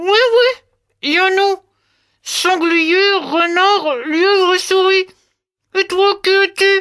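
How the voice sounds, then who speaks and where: A put-on character voice at an extremely high pitch, very slow pace, and with long, frequent pauses. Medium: read story.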